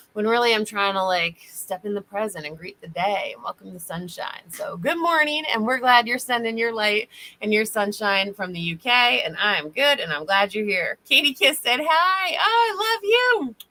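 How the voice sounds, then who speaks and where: A woman speaks at a fairly high pitch with hardly any pauses. Her pitch swings very widely and her loudness rises and falls sharply. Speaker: spiritual reader and healer. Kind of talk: livestream chat with readings. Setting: online livestream. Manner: fast; casual, animated.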